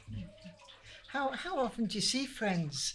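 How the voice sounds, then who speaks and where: With a Lancashire accent, a woman speaks at a fairly slow pace in audible room echo. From northern England, Manchester. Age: 80s+. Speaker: older community group member. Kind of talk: casual interview chat. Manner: halting.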